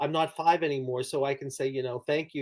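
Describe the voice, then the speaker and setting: A man is talking. His pace is very fast. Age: 60s. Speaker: clinical psychologist and author. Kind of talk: interview.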